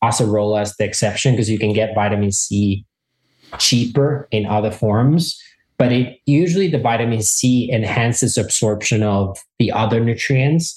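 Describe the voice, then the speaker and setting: A man's somewhat breathy, medium-pitched voice at a moderate pace, with ordinary pitch variation and very even loudness. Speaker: mushroom expert. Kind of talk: interview.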